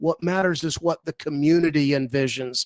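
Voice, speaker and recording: A man with an American accent and a plain, everyday voice, fairly high in pitch, at a moderate pace with ordinary pitch variation and a dry, close sound with no echo. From US South. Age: 60s. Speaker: property developer. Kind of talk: radio interview.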